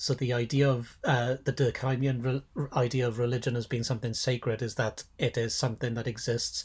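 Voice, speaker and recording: A man with a Welsh accent speaks at a medium pitch in a somewhat breathy, monotone voice with flat intonation. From Wales. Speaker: podcast co-host, sociologist of religion. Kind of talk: casual academic discussion. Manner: halting, self-correcting.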